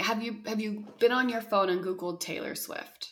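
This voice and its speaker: A woman with a plain, everyday voice, fairly high in pitch, at a moderate pace. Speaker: podcast host. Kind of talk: casual chat.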